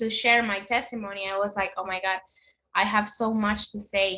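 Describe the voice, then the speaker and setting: In a Spanish accent, a woman speaks at a medium pitch with a bright, sharp tone. Her intonation is monotone and flat. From Honduras. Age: 20s. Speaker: guest sharing a religious conversion story. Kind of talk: testimony. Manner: halting.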